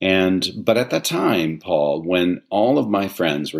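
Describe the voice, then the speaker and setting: A man speaks at a moderate pace with vocal fry. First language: Italian. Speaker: theatre artistic director. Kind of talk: interview conversation.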